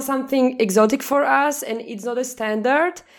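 With a Slovak accent, a woman speaks in a high voice at a moderate pace, her pitch varying in an ordinary way. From Slovakia. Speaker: podcast co-host. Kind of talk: casual interview.

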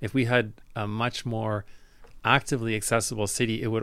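The speaker has a Canadian accent and a monotone, flat intonation. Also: man. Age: 60s. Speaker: guest, electric car owner. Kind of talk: interview conversation. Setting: office.

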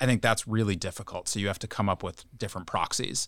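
A man at a very fast pace with ordinary pitch variation, on a very clean recording with a silent background. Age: 30s. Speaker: bank equity analyst. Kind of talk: professional podcast discussion. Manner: halting, many fillers and repeated words.

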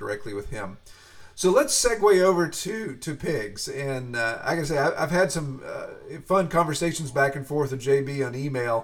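A somewhat breathy man with a fairly high pitch, lively intonation, a moderate pace and big swings in loudness. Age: 40s. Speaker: podcast host and pig farmer. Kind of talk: interview. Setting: home office.

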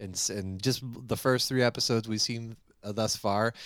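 A man with an American accent speaks at a moderate pace and a fairly low pitch. His is an unremarkable speaking voice. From US Maine. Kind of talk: casual chat. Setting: video call.

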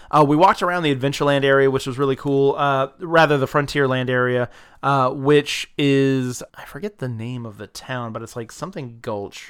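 With an American accent and a fairly high pitch, a man speaks at a moderate pace with hardly any pauses, ordinary pitch variation and big swings in loudness, in a very clean recording with a silent background. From US South, South Georgia. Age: 30s. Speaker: podcast host. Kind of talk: casual chat. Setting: home. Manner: animated.

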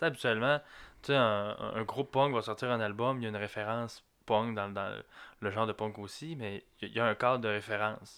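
A man with a Lac-Saint-Jean accent speaks at a fairly quick pace in a bright, sharp tone, his medium pitch following fairly even intonation on a very clean recording with a silent background. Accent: Lac-Saint-Jean Quebec French. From Quebec, Lac-Saint-Jean. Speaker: music fan guest. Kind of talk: casual chat. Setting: small studio. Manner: halting, repeated words.

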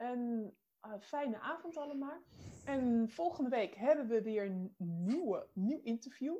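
The voice has a dark, mellow tone and lively intonation, moving at a very slow pace. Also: woman, high pitch for a woman. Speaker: co-host. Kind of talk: interview. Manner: excitable.

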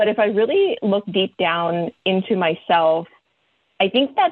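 A woman speaks at a medium pitch in an unremarkable speaking voice. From Virginia, US (moved from the Philippines at 10). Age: 40s. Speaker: marketing executive. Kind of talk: interview.

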